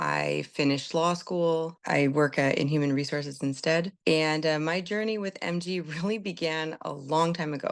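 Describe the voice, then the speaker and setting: A woman's very deep, low-pitched voice with an American accent, at a moderate pace, with fairly even intonation and hardly any pauses. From California, US West Coast. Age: 40s. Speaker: patient with a chronic illness. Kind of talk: personal testimony.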